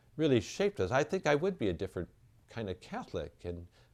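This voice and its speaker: Speaking at a very fast pace with very wide pitch swings, a man is heard on a very clean recording with a silent background. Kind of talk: interview.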